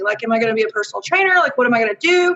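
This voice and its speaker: Against noticeable background noise, a woman speaks in an American accent. Her pitch is high. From US South, Arkansas. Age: 30s. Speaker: dietitian. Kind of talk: interview conversation.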